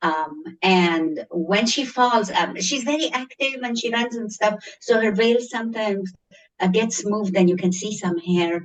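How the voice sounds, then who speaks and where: Speaking at a fairly slow pace, a woman uses a fairly high pitch and a strong Egyptian accent. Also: ordinary pitch variation. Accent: thick Egyptian. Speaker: schoolteacher. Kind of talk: interview. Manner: animated.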